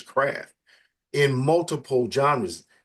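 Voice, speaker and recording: The man speaks in an animated tone. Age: 60s. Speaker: magazine editor and interview host. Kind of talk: casual interview. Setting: live session interview.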